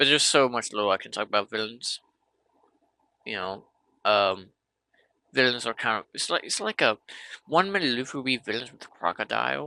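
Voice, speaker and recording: On a very clean recording with a silent background and a dry, close sound with no echo, a man with vocal fry talks at a fairly quick pace and medium pitch, his intonation lively and broken by long, frequent pauses. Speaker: anime commentator. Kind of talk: casual video rant. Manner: animated, exasperated; halting, repeats words.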